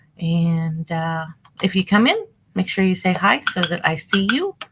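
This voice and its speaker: A woman speaking at a fairly slow pace in a fairly low pitch, with music in the background. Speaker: online reseller livestreamer. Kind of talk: casual livestream chat while listing items. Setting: live stream from home. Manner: casual, with fillers.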